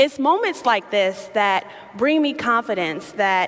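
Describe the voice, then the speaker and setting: Fairly slow speech with an American accent and ordinary pitch variation, over noticeable background noise. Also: woman. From Chicago, US Midwest. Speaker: activist and keynote speaker. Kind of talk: keynote speech. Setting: stage with audience.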